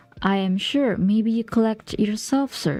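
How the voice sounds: A natural reading voice showing ordinary pitch variation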